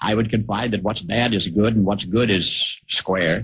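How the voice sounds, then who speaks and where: The voice belongs to a man with fairly low pitch. It sounds somewhat breathy. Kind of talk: radio commentary essay reading.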